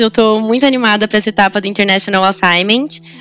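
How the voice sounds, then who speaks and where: With noticeable background noise, a woman speaks at medium pitch with fairly even intonation. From Brazil, São Paulo (São Bernardo, ABC Paulista). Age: 20s. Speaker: management trainee. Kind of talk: interview.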